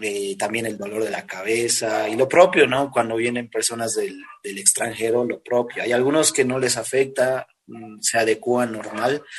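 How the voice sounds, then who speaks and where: There is noticeable background noise as a man talks at a moderate speed. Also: medium pitch for a man, fairly even intonation. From Bolivia, La Paz. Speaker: urban music singer. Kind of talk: interview.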